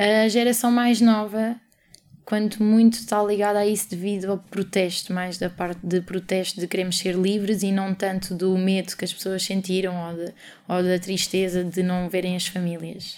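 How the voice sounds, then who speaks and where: Monotone, flat intonation at a moderate pace, on a very clean recording with a silent background. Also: woman, medium pitch for a woman. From Portugal. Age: 20s. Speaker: interviewee with German family. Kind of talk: interview.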